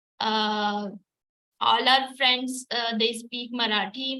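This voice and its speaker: Her tone bright and sharp, a woman with a Gujarati accent talks at a very slow pace in a fairly high, monotone, flat voice. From India, Maharashtra. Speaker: artist and mother. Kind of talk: online group talk. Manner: halting, many fillers.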